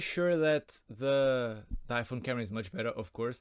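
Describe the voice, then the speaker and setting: Here a man with an unremarkable speaking voice talks at medium pitch with lively intonation. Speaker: YouTuber. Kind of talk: unboxing vlog. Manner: casual, filler-heavy.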